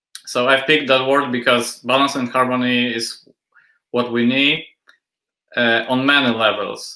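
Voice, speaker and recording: Monotone and flat, a man with a Polish accent speaks at a medium pitch in a bright, sharp tone. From Poland. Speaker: industrial designer and assistant professor. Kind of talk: interview.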